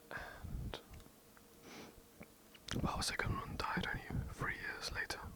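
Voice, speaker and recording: Someone whispers at a very slow pace. Noticeable background noise is present. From England. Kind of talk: ASMR history narration. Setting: home recording, poor mic. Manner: whispered; hesitant, some stutters.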